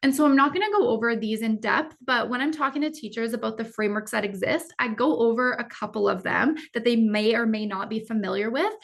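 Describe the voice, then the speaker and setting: A woman at a very fast pace with hardly any pauses, fairly high pitch and ordinary pitch variation, against noticeable background noise. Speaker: educator and AI literacy presenter. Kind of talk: webinar presentation. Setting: online webinar.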